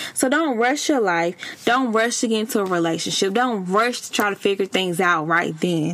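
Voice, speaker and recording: Over noticeable background noise, a woman talks at a moderate pace with medium pitch and lively intonation. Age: 30s. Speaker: podcast host. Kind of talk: casual advice monologue. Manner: animated.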